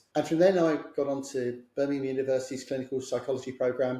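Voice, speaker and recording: In a London accent, a man talks at a very fast pace with a somewhat breathy, dark, mellow tone, a medium pitch and fairly even intonation. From south London, England. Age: 60s. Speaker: clinical psychologist. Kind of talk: podcast interview.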